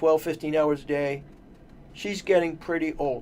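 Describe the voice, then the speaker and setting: Using an ordinary speaking voice, this man talks with a fairly high pitch. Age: 60s. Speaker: personal trainer. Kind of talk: radio interview.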